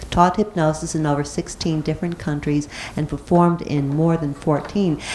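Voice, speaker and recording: A woman speaks with a very deep, low pitch and fairly even intonation. Noticeable background noise runs underneath. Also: moderate pace. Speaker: society meeting host. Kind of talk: speaker introduction. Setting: meeting room with live audience. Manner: reading aloud.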